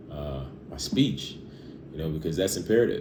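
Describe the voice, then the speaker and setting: A man's voice with audible room echo. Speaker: fitness vlogger. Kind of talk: casual vlog monologue. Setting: at home. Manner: halting, stuttering.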